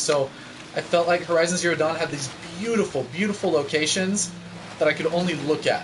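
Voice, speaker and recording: Against noticeable background noise, a man with a fairly high pitch talks fairly quickly in an intense tone, with ordinary pitch variation. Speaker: gaming streamer. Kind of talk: live gameplay stream commentary. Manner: loud, yelling at intense moments; animated.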